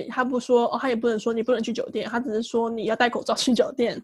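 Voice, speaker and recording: At a very fast pace, a woman speaks in a high voice. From Taiwan. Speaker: podcast co-host. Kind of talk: casual chat.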